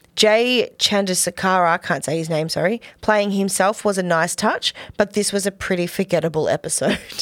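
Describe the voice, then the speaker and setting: With an Australian accent, a woman speaks at a moderate pace and a medium pitch, with fairly even intonation and hardly any pauses. The recording is very clean, with a silent background and a dry, close sound with no echo. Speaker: podcast co-host. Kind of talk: casual chat reviewing TV episodes.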